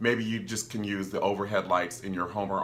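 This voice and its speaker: There is audible room echo. A man speaks at a moderate pace in a bright, sharp tone. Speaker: filmmaker and video creator. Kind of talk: tutorial. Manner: animated, enthusiastic.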